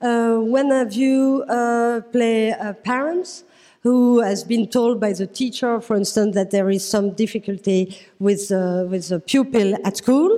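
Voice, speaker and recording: A woman with a French accent speaks at a very slow pace, her pitch fairly high and her tone dark and mellow. The recording is very clean, with a silent background. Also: ordinary pitch variation. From France. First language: French (speaking German). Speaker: psychiatrist. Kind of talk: workshop moderation. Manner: halting.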